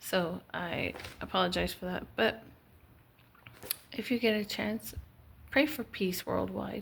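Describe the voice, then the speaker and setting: A woman speaks at a fairly slow pace. Long, frequent pauses break up her speech. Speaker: wellness vlogger. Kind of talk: casual solo talk to camera. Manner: hesitant with fillers; soft-spoken, quiet.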